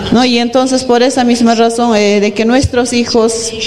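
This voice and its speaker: The voice belongs to a woman. Background noise is noticeable throughout. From Peru, Arequipa. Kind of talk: panel talk.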